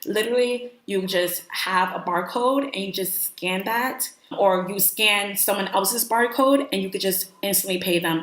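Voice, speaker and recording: An animated woman with an American accent, medium pitch, ordinary pitch variation, moderate pace and hardly any pauses, over noticeable background noise. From New York. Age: 20s. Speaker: vlogger. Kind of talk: casual vlog talk.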